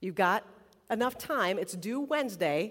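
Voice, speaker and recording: Using lively intonation, a woman with an unremarkable speaking voice talks at a fairly high pitch. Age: 40s. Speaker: college chaplain. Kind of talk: sermon.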